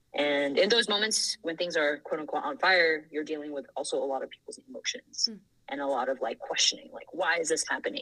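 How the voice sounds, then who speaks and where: At a fairly quick pace with hardly any pauses, a woman with a fairly low pitch makes very wide pitch swings and big swings in loudness. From Thailand (Bangkok). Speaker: engineering manager. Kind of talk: casual chat.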